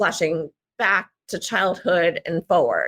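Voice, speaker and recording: A woman with a New Jersey accent, bright and sharp in tone, in a dry, close sound with no echo. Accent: American, New Jersey. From US Northeast, Central New Jersey. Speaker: memoir writer. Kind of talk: interview. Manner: halting, many fillers.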